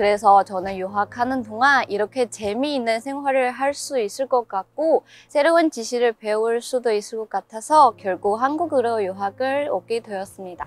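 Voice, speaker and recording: A woman speaks in a fairly high pitch with ordinary pitch variation and hardly any pauses. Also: moderate pace. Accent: Chinese. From China, Chongqing. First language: Chinese (speaking Korean). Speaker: international university student. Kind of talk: interview.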